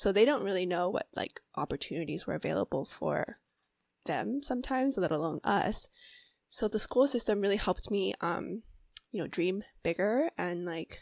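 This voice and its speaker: With an American accent and a touch of vocal fry, a woman speaks at medium pitch and a moderate pace with lively intonation, recorded dry and close with no echo against a silent, very clean background. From US. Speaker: mental health therapist. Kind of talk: interview.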